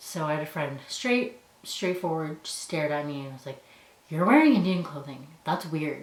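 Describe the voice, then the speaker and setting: With audible room echo and noticeable background noise, a woman talks at a fairly slow pace in a very deep, low voice with ordinary pitch variation. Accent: Canadian. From Canada. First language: Punjabi. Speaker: university student. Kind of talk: personal storytelling.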